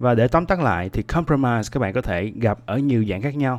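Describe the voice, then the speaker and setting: This man has an unremarkable speaking voice and talks fairly quickly with ordinary pitch variation over a quiet background. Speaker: podcast host teaching English vocabulary. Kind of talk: tutorial.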